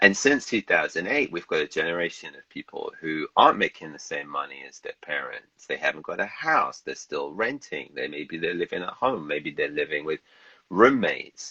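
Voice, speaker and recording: Big swings in loudness mark this man's British-accented speech at a moderate pace. The sound is dry and close, with no echo. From England, London. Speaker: novelist. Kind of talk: casual interview chat. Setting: livestream video call.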